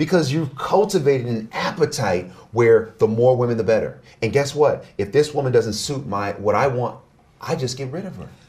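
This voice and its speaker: A man speaks at a moderate pace with a medium pitch and lively intonation, his loudness swinging widely over noticeable background noise. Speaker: relationship expert. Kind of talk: interview conversation.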